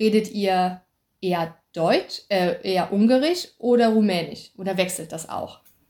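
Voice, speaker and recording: Speaking at a fairly slow pace, a woman uses a medium pitch with ordinary variation and a dark, mellow tone. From German-speaking upbringing (native German). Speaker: podcast host. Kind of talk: interview.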